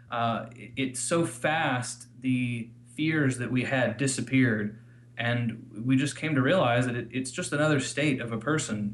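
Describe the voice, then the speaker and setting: A man talks at a fairly slow pace with an American accent. His pitch is medium and his intonation fairly even. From Missouri, US. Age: 30s. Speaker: listener couple guest. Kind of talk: interview.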